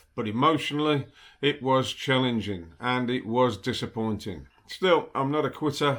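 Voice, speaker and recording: This is a man with an ordinary speaking voice at medium pitch and ordinary pitch variation, on a very clean recording with a silent background. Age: 60s. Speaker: cochlear implant patient. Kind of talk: casual talk to camera.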